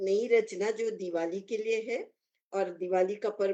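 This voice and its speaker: The speaker has a Kannada accent. The tone is dark and mellow. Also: woman. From Nagpur, India. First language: Kannada (speaking Hindi). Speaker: poet. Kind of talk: speech to an online audience.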